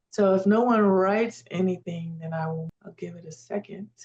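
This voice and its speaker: Somewhat breathy, a woman speaks at a moderate pace in a medium pitch. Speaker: AI prompting instructor. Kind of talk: live webinar workshop.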